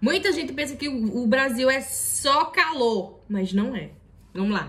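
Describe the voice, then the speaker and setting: With audible room echo, a woman speaks at a high pitch in an animated tone. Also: lively intonation, fairly slow pace. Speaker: YouTuber. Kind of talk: reaction video commentary.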